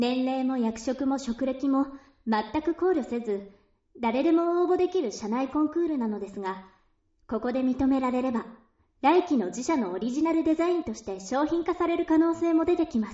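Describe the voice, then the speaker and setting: This woman's high voice has a warm, playful tone and lively intonation at a moderate pace. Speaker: voice actor reading a character. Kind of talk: dramatized audiobook reading, first-person monologue as a wedding speech. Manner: earnest, emotional, halting at first then warm and rising to a playful, cheerful shout.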